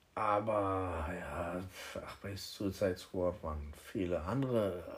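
A man's fairly low-pitched voice. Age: 30s. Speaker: podcast host. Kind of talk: casual chat. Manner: animated.

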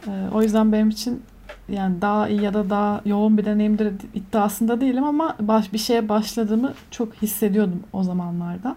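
Speaking in a plain, everyday voice, a woman keeps a fairly high pitch, fairly even intonation, very even loudness and a moderate pace. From Turkey, Antalya. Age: 20s. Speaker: media professional. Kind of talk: casual chat. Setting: video call.

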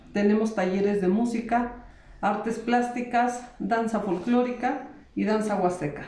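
At a fairly slow pace, a woman speaks with a fairly high pitch, ordinary pitch variation and very even loudness. Noticeable background noise and audible room echo fill the recording. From Mexico, San Joaquín, Querétaro. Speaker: cultural centre coordinator. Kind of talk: interview. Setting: house of culture, recorded on location.

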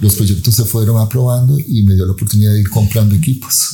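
Music plays in the background as a man talks at a fairly low pitch with ordinary pitch variation. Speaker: scientist. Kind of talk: interview.

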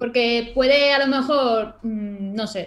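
A woman speaks at a fairly high pitch with ordinary pitch variation. She has an ordinary speaking voice. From Málaga, Andalusia, Spain. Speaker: illustrator and YouTuber. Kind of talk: casual interview chat.

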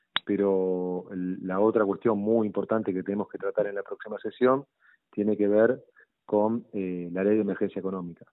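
A man speaks at a moderate pace. His fairly low voice stays in a flat monotone. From Argentina. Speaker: city legislator. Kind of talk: interview. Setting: phone call.

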